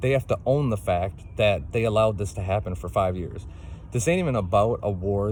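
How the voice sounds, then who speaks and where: This is a man with a fairly low-pitched voice. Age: 40s. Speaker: single parent making a complaint video. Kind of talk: personal testimony monologue. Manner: impassioned, repetitive with fillers.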